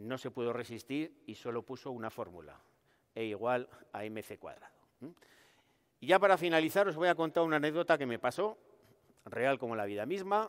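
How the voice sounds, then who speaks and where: Against a quiet background, a man speaks at a moderate pace and medium pitch, with long, frequent pauses, very wide pitch swings and big swings in loudness. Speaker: researcher comedian. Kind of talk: stand-up science monologue. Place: hall.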